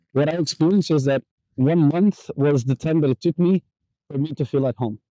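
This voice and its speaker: With a Portuguese accent, a man of fairly high pitch speaks at a fairly quick pace with very even loudness. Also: ordinary pitch variation. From Portugal, Porto. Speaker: digital nomad. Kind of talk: casual chat. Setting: outdoors. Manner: halting.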